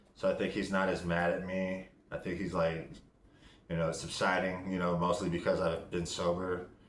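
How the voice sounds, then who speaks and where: Mumbling at a moderate pace, a man with a very deep, low pitch keeps a monotone, flat intonation amid audible room echo. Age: 40s. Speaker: vlogger in recovery. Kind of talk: casual video diary.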